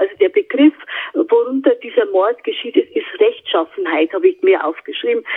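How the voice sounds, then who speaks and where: This woman's voice sits extremely high in pitch and swings very widely up and down. She talks at a moderate pace. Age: 70s. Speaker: psychic medium. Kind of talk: interview. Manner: hesitant with fillers.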